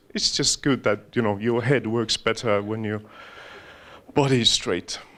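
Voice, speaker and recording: In an Estonian accent, a man talks at a fairly slow pace with a medium pitch and fairly even intonation. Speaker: mindfulness trainer. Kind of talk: guided meditation; talk to an audience. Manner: halting.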